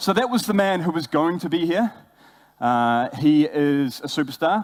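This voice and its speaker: In a very clean recording with a silent background, a man speaks at a fairly high pitch. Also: lively intonation, moderate pace. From New Zealand. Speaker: brand ambassador, former bartender. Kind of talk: conference talk. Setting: stage with audience.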